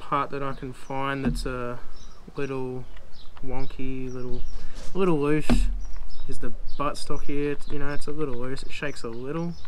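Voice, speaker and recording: Over noticeable background noise, a man speaks in a flat monotone. He leaves long, frequent pauses. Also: moderate pace. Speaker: hobby reviewer. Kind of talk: product review. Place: garden. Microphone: camera far.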